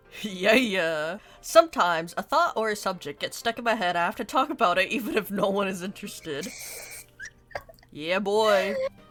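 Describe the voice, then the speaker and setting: A woman speaks at a medium pitch and a moderate pace, her intonation lively. Noticeable background noise runs underneath. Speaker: YouTuber. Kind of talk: casual chat.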